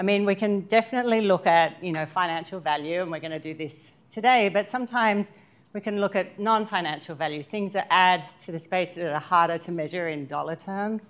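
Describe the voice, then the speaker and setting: Speaking with an Australian accent, a woman of medium pitch moves at a fairly quick pace with hardly any pauses and ordinary pitch variation. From Australia, Sydney. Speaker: workshop presenter, sustainability consultant. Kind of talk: training workshop presentation.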